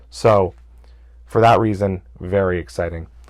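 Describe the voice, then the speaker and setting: A man's fairly low voice with vocal fry and very wide pitch swings, on a very clean recording with a silent background. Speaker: gaming podcast host. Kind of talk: solo podcast recap. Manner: animated.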